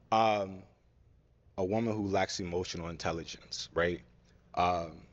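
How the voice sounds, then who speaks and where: A very deep, low-pitched man's voice, fairly slow and fairly even in intonation. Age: 30s. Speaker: dating show contestant. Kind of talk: casual interview answers. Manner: hesitant, many filler ums.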